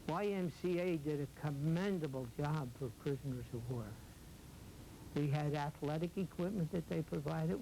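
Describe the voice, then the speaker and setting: A man with an American accent speaks in a somewhat breathy, dark, mellow tone at a fairly high pitch and moderate pace. His loudness stays very even, broken by long, frequent pauses. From Philadelphia, US. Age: 80s+. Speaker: war veteran. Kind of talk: testimony. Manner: halting.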